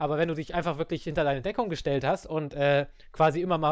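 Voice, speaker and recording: A man with a fairly high pitch speaks on a very clean recording with a silent background. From Germany. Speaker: podcast host. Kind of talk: casual chat.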